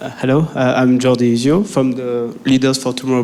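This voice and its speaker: A man's medium-pitched voice with ordinary pitch variation, at a fairly quick pace, over noticeable background noise. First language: not English. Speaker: audience member, geologist. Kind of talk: audience question. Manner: halting.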